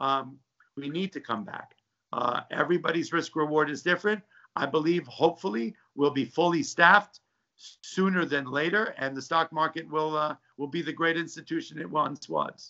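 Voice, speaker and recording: In a normal speaking voice, a man talks at a moderate pace and fairly high pitch with ordinary pitch variation. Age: 60s. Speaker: stock trader. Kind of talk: interview. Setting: video call from home.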